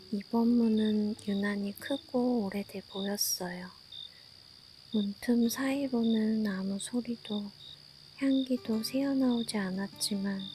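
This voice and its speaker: Music plays behind a woman with a fairly high pitch. Her tone is soothing and her pace very slow. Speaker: sleep story narrator. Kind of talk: sleep story. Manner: soft, slow, soothing.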